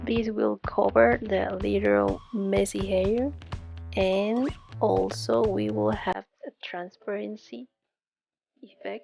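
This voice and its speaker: With a non-native accent, the speaker goes at a very slow pace with long, frequent pauses. Music plays in the background. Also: woman. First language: not English. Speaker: resin crafter. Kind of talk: tutorial.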